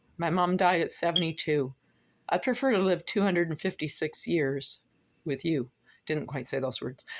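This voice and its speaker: In a very clean recording with a silent background, a woman speaks at a moderate pace with a fairly low pitch and lively intonation. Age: 60s. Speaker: vlogger. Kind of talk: casual monologue vlog.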